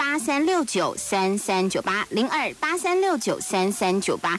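A woman's voice moves through very wide pitch swings. The sound is dry with no echo, and light background noise is present. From Taiwan. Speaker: radio host. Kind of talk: radio call-in show. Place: studio.

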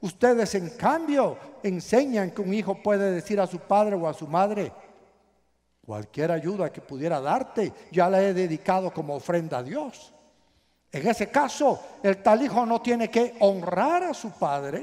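Against a quiet background, a man talks at a fairly slow pace with a high pitch, a dark, mellow tone and lively intonation. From Guatemala. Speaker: pastor. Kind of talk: sermon. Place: hall. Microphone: headset.

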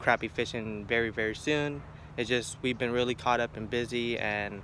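A bright, sharp tone at a very fast pace, dry sound with no echo and light background noise. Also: man. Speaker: fishing hobbyist vlogger. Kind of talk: casual vlog chat. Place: garden. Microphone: phone near.

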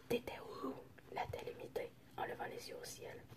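A woman is whispering. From French Canadian. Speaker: ASMR creator. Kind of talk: ASMR book reading. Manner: whispered. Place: home room. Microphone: phone near.

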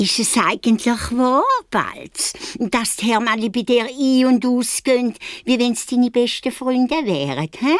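A put-on character voice from a woman, high in pitch with ordinary pitch variation, at a moderate pace. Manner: mocking, sneering, disbelieving.

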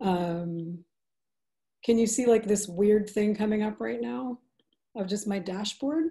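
Over a quiet background, a woman with a dark, mellow, somewhat breathy tone talks at a fairly slow pace, with lively intonation and long, frequent pauses. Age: 40s. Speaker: restorative justice practitioner; webinar presenter. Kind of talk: webinar presentation. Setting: video call. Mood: calm, thoughtful. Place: home room. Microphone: video call.

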